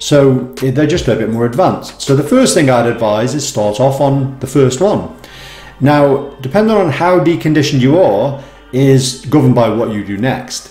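A man talks with ordinary pitch variation amid audible room echo. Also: moderate pace. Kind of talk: tutorial. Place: home room.

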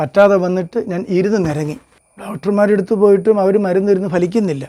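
A man with a high voice speaks in a dark, mellow tone with ordinary pitch variation. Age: 50s. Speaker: vlogger sharing personal health experience. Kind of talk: personal testimony monologue.

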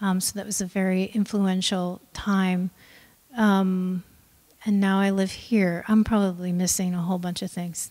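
A woman with an American accent talks at a fairly slow pace in a flat monotone against a quiet background. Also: medium pitch for a woman. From US Midwest. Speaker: choreographer; guest. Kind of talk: panel talk. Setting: stage with audience. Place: hall. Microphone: handheld.

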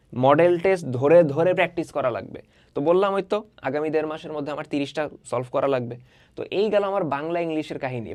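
This is a man with a plain, everyday voice. He speaks in a fairly high pitch with ordinary pitch variation. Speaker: online tutor. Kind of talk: tutorial. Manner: casual, conversational.

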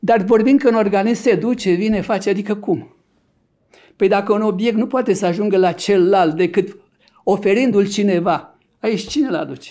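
A man's high-pitched voice, dark and mellow in tone, at a moderate pace with ordinary pitch variation against a quiet background. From Romania, Argeș county; Romania. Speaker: neurologist and author; interview guest. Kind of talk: interview. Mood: reflective, explanatory. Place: studio. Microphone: studio mic.

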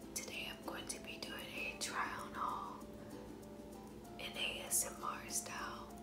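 A woman speaks over loud background music. She leaves long, frequent pauses. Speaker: ASMR vlogger. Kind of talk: ASMR clothing try-on haul. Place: home room. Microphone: phone near.

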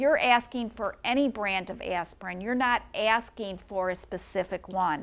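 With a Midwestern American accent, a woman speaks at a fairly high pitch and moderate pace, leaving hardly any pauses. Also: ordinary pitch variation. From US Midwest, St. Louis, Missouri; Missouri. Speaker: patent attorney; intellectual property attorney. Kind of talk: lecture. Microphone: lapel.

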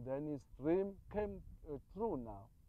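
A man's fairly high voice in a Zulu accent, very slow, with ordinary pitch variation and a dry sound with no echo. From South Africa, Zulu. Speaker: interviewee telling oral history. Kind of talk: interview commentary. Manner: halting, repetitive, sincere. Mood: calm, earnest storytelling. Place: open country.

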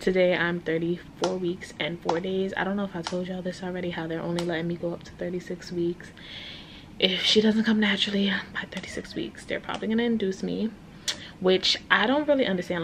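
A woman at a fairly quick pace with big swings in loudness, ordinary pitch variation and light background noise. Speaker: pregnant vlogger in hospital. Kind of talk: casual vlog chat. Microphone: phone near.

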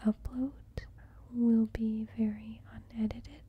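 A soft-spoken voice. The pace is fairly slow. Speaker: vlogger planning grocery shopping. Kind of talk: casual vlog chat. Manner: soft-spoken, quiet close ASMR voice. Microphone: phone near.

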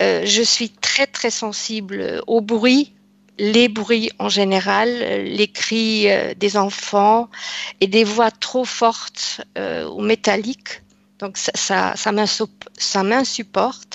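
A woman speaks at a very slow pace. The sound is dry, with no echo. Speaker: client. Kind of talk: personal testimony. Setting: video call. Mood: calm, slightly hesitant. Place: home room. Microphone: headset.

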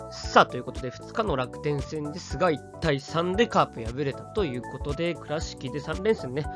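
A man is speaking. Music can be heard in the background. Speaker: baseball fan commentator. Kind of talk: casual sports commentary.

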